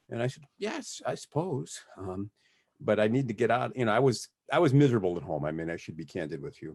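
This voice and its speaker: The voice has vocal fry and moves at a fairly quick pace. Both its pitch and its loudness swing widely. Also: man, fairly low pitch for a man. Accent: American. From US Midwest, Detroit, Michigan. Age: 60s. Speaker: criminal defense lawyer. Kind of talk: interview. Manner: halting.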